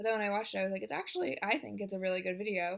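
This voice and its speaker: This woman's voice sits at a medium pitch with fairly even intonation. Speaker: vlogger. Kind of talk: casual vlog monologue. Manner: talking loudly; hesitant, many fillers.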